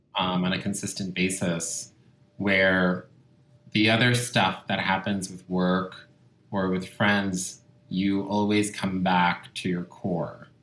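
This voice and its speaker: A man speaks very slowly in a very deep, low voice. His intonation stays monotone and flat. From Italy. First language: Italian. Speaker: skincare brand founder. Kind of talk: interview.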